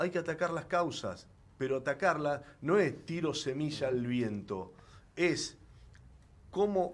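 Speaking very slowly with long, frequent pauses, a man uses lively intonation in a fairly high voice. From Argentina, Rosario (Santa Fe). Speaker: senator, former journalist. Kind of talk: interview. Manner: halting, many fillers and repetitions.

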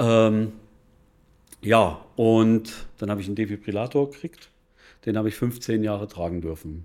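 With long, frequent pauses, a man talks at a moderate pace in a fairly low voice with ordinary pitch variation. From Bavaria (Regensburg). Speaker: financial advisor. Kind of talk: casual interview. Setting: café.

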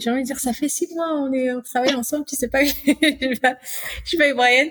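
A woman's voice, dry and close with no echo. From Congo-Brazzaville. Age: 30s. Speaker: returnee to Africa. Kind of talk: interview.

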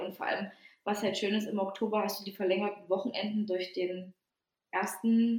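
Speech moves at a moderate pace. It comes in a plain, everyday voice. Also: woman. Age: 20s. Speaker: podcast co-host. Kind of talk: casual chat.

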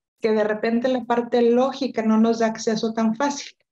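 At a fairly slow pace, a woman talks with a high pitch, fairly even intonation and a dark, mellow tone. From Mexico, Monterrey. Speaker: coach and author. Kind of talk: interview. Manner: repeats words, hesitant fillers.

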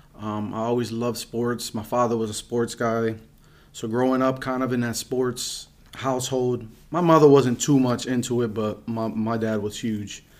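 A man with an American accent and a normal speaking voice, medium in pitch, at a moderate pace with fairly even intonation. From Reading, Pennsylvania, US. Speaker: guest sharing life story. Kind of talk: casual chat.

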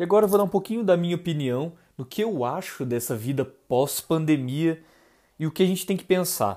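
Very clean, with a silent background, this recording features a man with an ordinary speaking voice. He talks at a moderate pace with lively intonation. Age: 20s. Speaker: podcast host, university student. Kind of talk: podcast monologue and chat.

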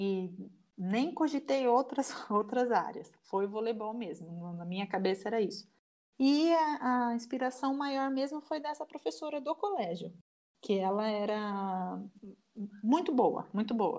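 An unremarkable speaking voice belongs to a woman pitched fairly high. She moves at a fairly slow pace with lively intonation. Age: 30s. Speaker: volleyball coach, former athlete. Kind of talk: casual interview.

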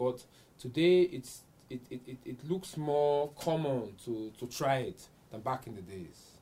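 A man with a fairly high pitch speaks at a very slow pace in a somewhat breathy voice with a dark, mellow tone, lively intonation and big swings in loudness. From Vienna, Austria (Nigerian parents). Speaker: football enthusiast and amateur player. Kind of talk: studio discussion. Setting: studio.

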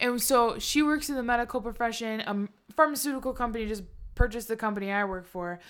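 On a very clean recording with a silent background, a woman speaks at a very fast pace in a fairly high voice with ordinary pitch variation. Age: 20s. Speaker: podcast co-host. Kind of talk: casual chat. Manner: laughs often.

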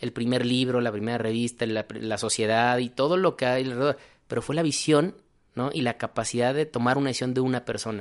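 Someone speaks at a fairly quick pace with fairly even intonation over a quiet background. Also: man, medium pitch for a man. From Mexico, Guadalajara. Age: 30s. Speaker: physician. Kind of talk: interview conversation.

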